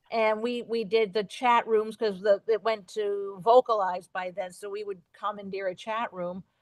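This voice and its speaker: This woman has a slight New Jersey accent and a fairly high pitch. She keeps a moderate pace, and the sound is dry and close with no echo. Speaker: radio host. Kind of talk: casual chat.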